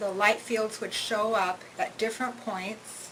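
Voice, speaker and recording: Against noticeable background noise, a woman speaks at a very slow pace in a monotone, flat intonation. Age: 60s. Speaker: patient. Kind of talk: testimony. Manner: halting.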